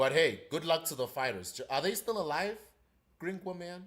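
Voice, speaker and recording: In a very clean recording with a silent background, a man speaks at a fairly quick pace with vocal fry. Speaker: live stream co-host. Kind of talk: casual live stream chat.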